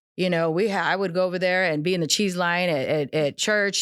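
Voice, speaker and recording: A woman with an American accent and a plain, everyday voice speaks at a fairly quick pace and medium pitch, her intonation fairly even. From Arizona and California, US. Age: 40s. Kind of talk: testimony.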